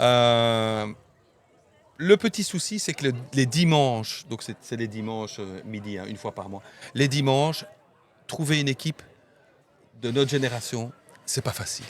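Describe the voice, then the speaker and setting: Delivered at a fairly slow pace, the speech has big swings in loudness, long and frequent pauses, and ordinary pitch variation. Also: man, medium pitch for a man. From Belgium, Namur (La Plante district). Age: 50s. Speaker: association president. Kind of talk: casual interview chat. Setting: outdoors by the river. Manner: halting, many hesitations.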